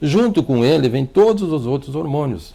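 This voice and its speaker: A man is talking. He has a dark, mellow tone. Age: 60s. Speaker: doctor. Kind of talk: TV interview. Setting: TV studio. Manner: fluent.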